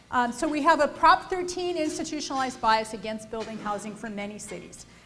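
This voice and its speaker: A woman with an American accent and a high voice, at a very fast pace, with very wide pitch swings, big swings in loudness, and noticeable background noise. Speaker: housing policy panelist. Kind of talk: panel presentation.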